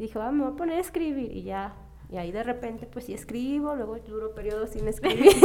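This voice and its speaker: A woman at a fairly high pitch, talking very fast with lively intonation and big swings in loudness, over noticeable background noise. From Zacatecas, Mexico. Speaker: podcast guest. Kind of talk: casual chat.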